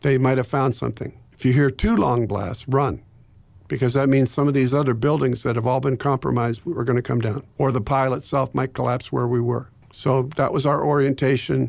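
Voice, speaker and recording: On a very clean recording with a silent background, a man with medium pitch and vocal fry speaks at a fairly quick pace, his loudness very even and his intonation fairly even. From Ohio, US. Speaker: pastor and former Navy chaplain. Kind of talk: interview, telling personal story of 9/11 aftermath. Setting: radio studio. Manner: reflective, sombre, measured.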